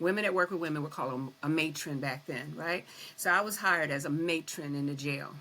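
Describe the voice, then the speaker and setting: Very fast and bright, sharp in tone, a woman talks with a very deep, low pitch and ordinary pitch variation. The recording is very clean, with a silent background. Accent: American. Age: 60s. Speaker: retired prison administrator. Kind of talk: interview.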